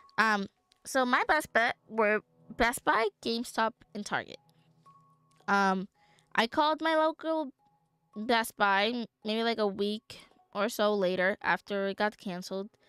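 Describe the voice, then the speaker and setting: A woman with an American accent at a fairly slow pace, lively intonation, music in the background and a dry, close sound with no echo. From New York City, the Bronx. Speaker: vtuber streamer. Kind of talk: casual livestream chat. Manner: casual, filler-heavy.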